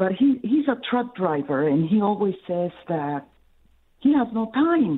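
A woman with an American accent, very wide pitch swings and a fairly slow pace. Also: medium pitch for a woman. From Cleveland, US Midwest. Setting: phone call.

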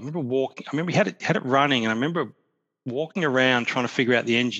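A man's medium-pitched voice with a bright, sharp tone, ordinary pitch variation and a very fast pace. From Tasmania, Australia. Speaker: car owner. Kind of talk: casual chat. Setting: video call.

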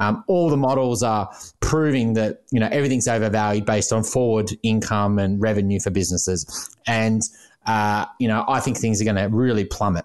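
Talking at a fairly quick pace with an Australian accent, a man with a fairly low pitch keeps his loudness very even and uses ordinary pitch variation over a quiet background. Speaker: financial planner and podcast co-host. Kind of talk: interview.

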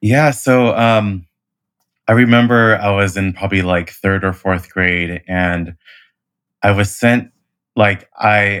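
With a Californian accent, a man speaks at a fairly slow pace with fairly even intonation. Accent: general American (California). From US West Coast (Hayward, California). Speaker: event professional with a stutter. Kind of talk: personal testimony in interview. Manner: halting, many repetitions and fillers.

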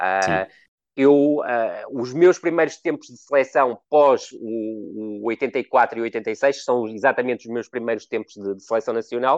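With a plain, everyday voice, a man speaks at medium pitch with ordinary pitch variation and big swings in loudness, in a dry, close sound with no echo. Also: fairly slow pace, quiet background. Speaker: football analyst. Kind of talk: casual chat.

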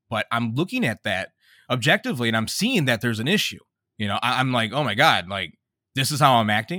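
Speaking very fast with an American accent, a man uses a bright, sharp, medium-pitched voice and lively intonation, recorded with a dry, close sound with no echo. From Detroit, Michigan. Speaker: rapper and father. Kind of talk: casual interview. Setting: remote call.

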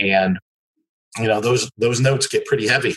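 A man speaks at a fairly quick pace with a US Midwestern accent. The sound is dry and close, with no echo. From US Midwest (Michigan / Cincinnati area, Ohio). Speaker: laundromat business owner. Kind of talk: interview.

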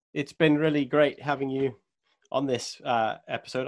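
A man with a normal speaking voice talks fairly high in pitch, his intonation fairly even, in a very clean recording with a silent background. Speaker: podcast interviewer. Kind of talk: interview.

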